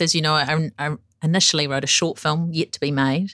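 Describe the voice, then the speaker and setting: Here a woman speaks with a New Zealand accent at a fairly quick pace. Her pitch is very deep and low. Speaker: broadcaster, podcast host. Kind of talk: scripted narration.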